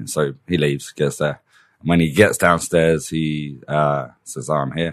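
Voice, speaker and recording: A man's very deep, low voice in an English accent, fairly slow and with fairly even intonation. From England. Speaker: teacher. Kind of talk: casual chat.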